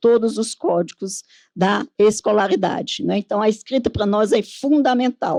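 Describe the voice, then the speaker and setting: Here is a woman with a plain, everyday voice at a medium pitch, speaking at a moderate pace with ordinary pitch variation. The sound is dry and close, with no echo. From Northeast Brazil. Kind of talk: conference panel talk.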